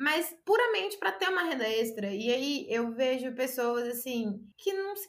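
A woman's high-pitched voice at a moderate pace. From Brazil, Minas Gerais interior (Conselheiro Pena). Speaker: writer and former English teacher. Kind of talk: casual interview chat.

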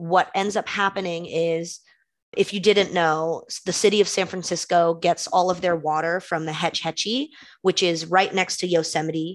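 A woman's fairly low-pitched, a normal speaking voice, with an American accent, fairly even intonation and a moderate pace, over a quiet background. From California, East Bay (Concord). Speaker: graduate student intern. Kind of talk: casual chat. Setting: video call.

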